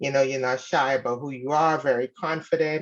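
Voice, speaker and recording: A woman with a slight Bahamian accent speaks with fairly even intonation. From Bahamas. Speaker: caller seeking advice. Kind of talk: casual advice call.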